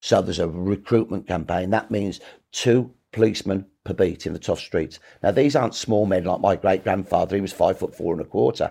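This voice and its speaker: A man with a Birmingham accent speaks at a fairly quick pace and a fairly low pitch, with a dark, mellow tone and ordinary pitch variation, on a very clean recording with a silent background. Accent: Birmingham (Brummie) English. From Birmingham, England. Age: 60s. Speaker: historian. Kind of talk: interview. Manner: animated.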